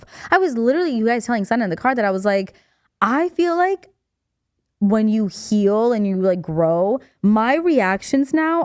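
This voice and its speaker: An animated woman with a fairly high pitch makes very wide pitch swings on a very clean recording with a silent background. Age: 30s. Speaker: podcast co-host. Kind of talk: casual chat. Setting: studio. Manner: fast.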